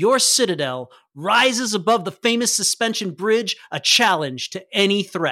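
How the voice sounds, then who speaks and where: A man with a high pitch for a man uses a raised, projected voice and a bright, sharp tone, animated and enthusiastic, on a very clean recording with a silent background. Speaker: English teacher and game master. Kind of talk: tabletop role-playing game narration. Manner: animated, enthusiastic.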